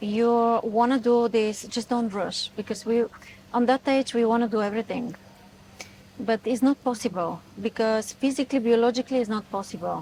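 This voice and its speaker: A woman's fairly high voice at a moderate pace, with fairly even intonation. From Bulgaria. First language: Bulgarian. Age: 40s. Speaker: etiquette influencer. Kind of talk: interview. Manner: halting.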